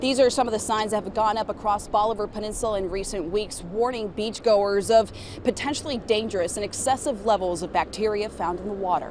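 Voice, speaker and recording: Over noticeable background noise, a woman at fairly high pitch talks fairly quickly with hardly any pauses and ordinary pitch variation. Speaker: TV news anchor and reporter. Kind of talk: field reporter standup on location.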